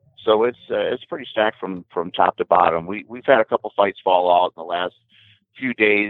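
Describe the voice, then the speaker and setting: A man with a plain, everyday voice speaks fairly quickly at a fairly low pitch with ordinary pitch variation. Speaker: MMA event promoter. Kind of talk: podcast interview.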